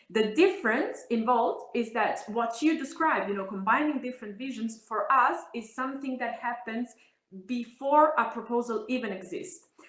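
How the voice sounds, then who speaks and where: With an Italian accent, a woman speaks at a moderate pace. Her pitch is high and her intonation lively. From Italy. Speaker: politician. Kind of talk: interview.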